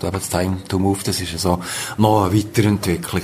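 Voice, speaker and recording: The delivery is monotone, with flat intonation and a very fast pace. Noticeable background noise runs underneath. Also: man. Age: 60s. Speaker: workshop participant. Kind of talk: interview.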